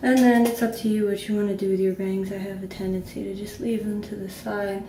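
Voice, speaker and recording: Audible room echo and noticeable background noise accompany a woman talking fairly quickly. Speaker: beauty vlogger. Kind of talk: tutorial. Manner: casual, chatty.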